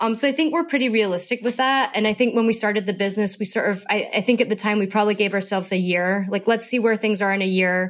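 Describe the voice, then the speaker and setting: A woman with a Scottish accent talks very fast with hardly any pauses, her fairly high pitch showing ordinary variation and her loudness very even, on a very clean recording with a silent background. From Scotland. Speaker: fashion entrepreneur. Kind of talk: interview conversation.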